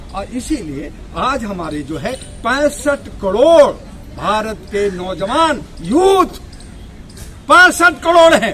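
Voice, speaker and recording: With music playing in the background, a man uses a raised, projected voice at an extremely high pitch, his pitch swinging very widely. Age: 60s. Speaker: political activist and party leader. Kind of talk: political speech. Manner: animated.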